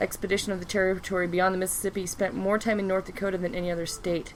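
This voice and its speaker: A woman speaks at medium pitch and a very fast pace. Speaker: podcast host. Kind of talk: heated rant. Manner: animated, angry.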